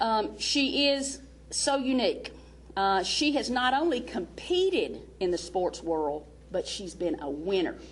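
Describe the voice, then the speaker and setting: A woman with a Southern US accent speaks with very wide swings in pitch. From US South. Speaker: basketball coach. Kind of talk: speech introducing a speaker. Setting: seminar with audience. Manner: animated.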